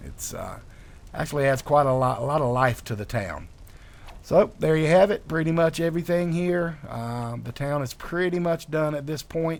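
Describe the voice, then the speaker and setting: A man in a Southern US accent, relaxed in tone, with lively intonation. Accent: southern drawl. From North Carolina, US South. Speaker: video game modder. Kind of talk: gameplay walkthrough commentary. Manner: relaxed, many filler words.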